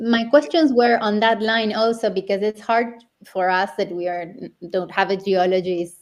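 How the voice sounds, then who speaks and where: Speaking with a Spanish accent, a woman has a fairly high pitch with ordinary pitch variation. Her pace is very slow. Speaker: interview host. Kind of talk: casual chat.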